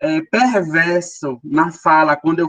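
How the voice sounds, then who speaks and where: The sound is dry and close, without any echo. A man talks in a high pitch, his pitch variation ordinary. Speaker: education program team member. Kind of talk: work meeting discussion.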